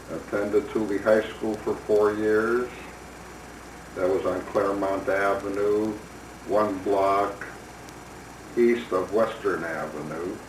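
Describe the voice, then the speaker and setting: With a Chicago accent and a fairly low pitch, a man speaks at a very slow pace with long, frequent pauses and fairly even intonation, amid audible room echo and noticeable background noise. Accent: Chicago American English. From US Midwest, Chicago. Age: 70s. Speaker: retired doctor. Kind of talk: personal memoir. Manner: reflective, unhurried.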